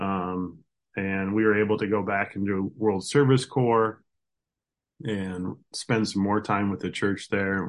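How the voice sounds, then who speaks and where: A man with a Midwestern American accent talks at a very slow pace in a fairly low pitch. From rural Iowa. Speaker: farmer. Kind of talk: interview conversation.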